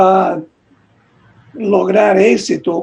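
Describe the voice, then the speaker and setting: The speaker is a man with a high pitch. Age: 60s. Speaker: bishop. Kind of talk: conference question. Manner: halting.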